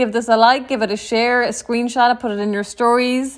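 In a very clean recording with a silent background, a woman speaks at a high pitch with a Clare accent. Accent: Irish (western, Clare). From Ireland, County Clare. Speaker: podcast host, entrepreneur. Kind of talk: solo podcast monologue.

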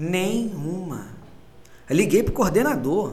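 A man speaks at a fairly slow pace in a high-pitched voice with lively intonation. Room echo can be heard around him. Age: 30s. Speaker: musician, photographer and accountant. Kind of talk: casual chat.

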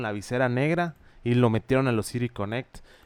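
A man speaks at a fairly quick pace in a normal speaking voice with a medium pitch. The sound is dry and close with no echo, and his pitch variation is ordinary. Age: 20s. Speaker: baseball podcast co-host. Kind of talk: casual chat.

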